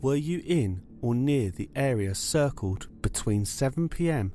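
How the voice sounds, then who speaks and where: With music in the background, a man speaks in a serious tone at a medium pitch with ordinary pitch variation. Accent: British. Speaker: true crime podcaster. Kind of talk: true-crime narration, scripted and solemn. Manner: measured, serious, storytelling pace.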